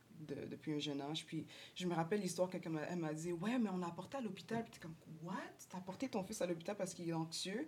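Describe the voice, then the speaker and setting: A woman with a fairly low-pitched voice. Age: 20s. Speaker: social work student. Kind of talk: casual chat.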